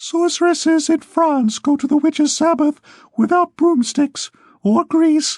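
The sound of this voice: In a put-on character voice, the speaker sounds high-pitched and squeaky at a moderate pace.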